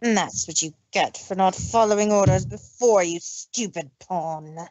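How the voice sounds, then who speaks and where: In a put-on character voice, a female-sounding speaker growls at medium pitch and a moderate pace. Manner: growling, snarling.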